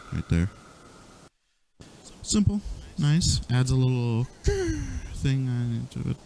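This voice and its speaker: A man's medium-pitched voice at a very slow pace. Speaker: music producer. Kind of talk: software tutorial walkthrough. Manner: casual, unplanned, occasional stutter.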